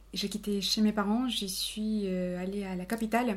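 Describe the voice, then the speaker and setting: Very slowly and somewhat breathily, a woman speaks at a medium pitch. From Colombia, Cali. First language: Spanish (speaking French). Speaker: office worker. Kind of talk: casual chat. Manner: halting.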